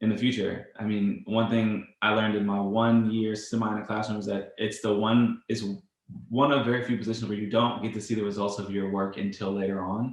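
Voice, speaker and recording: Audible room echo surrounds this man's voice. His pitch is fairly low and his intonation monotone and flat. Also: fairly quick pace. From Louisiana. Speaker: podcast interviewer. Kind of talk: interview.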